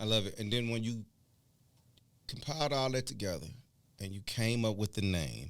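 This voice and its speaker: Pausing long and often, a man speaks at a fairly low pitch with ordinary pitch variation. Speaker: podcast host. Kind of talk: interview. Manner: fast.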